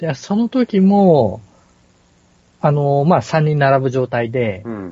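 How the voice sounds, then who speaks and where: Somewhat breathy and at a medium pitch, a man speaks with very wide pitch swings, big swings in loudness, and long, frequent pauses. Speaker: podcast co-host. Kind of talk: casual chat. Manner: hesitant, many fillers.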